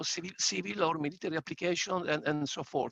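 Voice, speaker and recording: A man speaks at a fairly quick pace with an Italian accent. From Italy. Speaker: audience member asking question. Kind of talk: audience question. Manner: hesitant, stammering.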